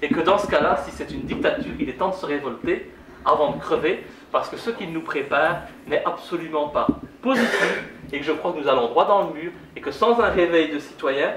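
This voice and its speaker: Loud and high-pitched, a man talks at a fairly quick pace with very wide pitch swings. Noticeable background noise and audible room echo fill the recording. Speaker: politician. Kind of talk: public lecture. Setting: conference hall with audience.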